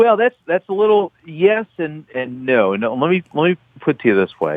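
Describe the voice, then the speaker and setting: A man with an American accent talks in a fairly high pitch, his voice making very wide pitch swings. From Baltimore, Maryland. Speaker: author and political reporter. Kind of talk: radio interview. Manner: animated, fast.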